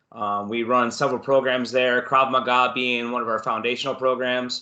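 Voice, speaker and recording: A moderate pace in an American accent, with monotone, flat intonation. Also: man, medium pitch for a man. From Florida. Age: 40s. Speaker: martial arts instructor. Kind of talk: casual chat.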